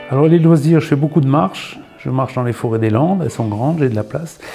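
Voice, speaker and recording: The speaker is a man with a medium pitch. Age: 60s. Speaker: job seeker from heavy industry. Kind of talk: self-presentation interview. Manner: halting.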